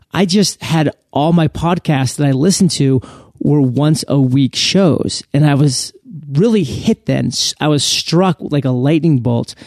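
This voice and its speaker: A man's fairly high, unremarkable speaking voice with an American accent, fairly slow pace, ordinary pitch variation, very even loudness and dry, close sound with no echo. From US Northeast, southern Maine. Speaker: podcaster, army veteran. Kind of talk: interview.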